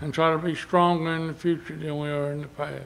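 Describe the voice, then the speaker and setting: A man speaks at a fairly high pitch with flat, monotone intonation. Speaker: church member leading prayer. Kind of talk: prayer. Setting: church. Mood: reverent, calm. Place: church. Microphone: podium.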